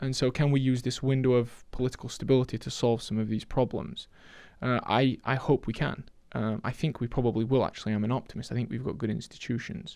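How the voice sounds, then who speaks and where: Very fast speech comes from a man with a Yorkshire accent and a medium pitch. The recording is very clean, with a silent background. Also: fairly even intonation. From northern England, Sheffield, Yorkshire. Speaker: economist. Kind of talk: podcast interview. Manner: halting, many repetitions.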